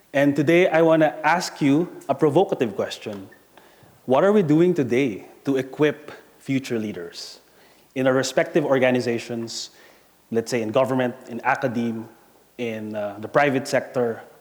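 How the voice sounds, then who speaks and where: A man with an Asian accent speaks at medium pitch and a moderate pace, with ordinary pitch variation. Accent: Asian accent, noticeable. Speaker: corporate talent and employer brand director. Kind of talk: conference presentation.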